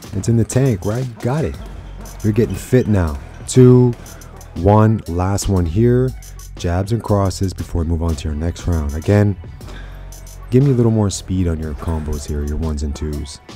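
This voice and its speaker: With faint music in the background, a man speaks at a very deep, low pitch, leaving long, frequent pauses. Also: moderate pace. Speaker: boxing fitness instructor. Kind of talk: workout coaching. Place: gym.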